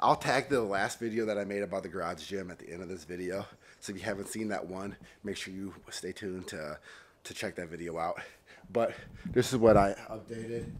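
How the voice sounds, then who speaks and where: A man speaks in a normal speaking voice at a fairly quick pace, his pitch fairly low and his intonation fairly even, over light background noise. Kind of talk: casual vlog chat. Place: garage. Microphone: phone near.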